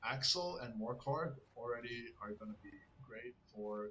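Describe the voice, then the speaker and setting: A man's speech has ordinary pitch variation, with noticeable background noise behind it. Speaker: gaming content creator. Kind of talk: gameplay tutorial commentary. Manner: fast.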